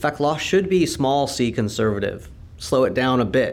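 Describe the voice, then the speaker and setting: A man in a Californian accent talks at a moderate pace, with audible echo in the room. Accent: American (Californian). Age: 50s. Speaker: law and business professor. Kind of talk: conversational interview. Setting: university conference venue.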